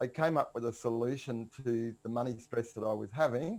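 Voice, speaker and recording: With an Australian accent, a man speaks at medium pitch. His pace is moderate. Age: 60s. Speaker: personal finance coach. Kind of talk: podcast interview. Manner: casual, with frequent fillers and repeats.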